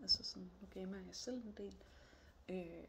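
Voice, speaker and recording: Very slowly, a woman talks amid audible room echo. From northern Jutland, Denmark (Aalborg area). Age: 30s. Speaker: job applicant. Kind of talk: job application video monologue. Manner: hesitant, many fillers.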